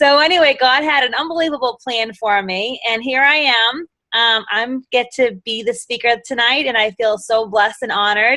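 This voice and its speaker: With a Boston accent and an animated tone, a woman with a high pitch talks at a moderate pace with ordinary pitch variation. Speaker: direct sales executive director. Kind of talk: motivational talk on a live video call.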